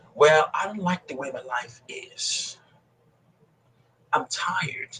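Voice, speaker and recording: This man has a Nigerian accent. His tone is passionate and animated. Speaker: motivational speaker and coach. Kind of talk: motivational speech in interview. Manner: passionate, animated.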